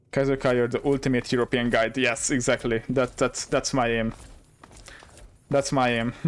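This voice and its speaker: Pausing long and often, a man with a Hungarian accent speaks at medium pitch with very even loudness. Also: moderate pace. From Hungary. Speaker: gaming streamer. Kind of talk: live gameplay commentary. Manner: animated.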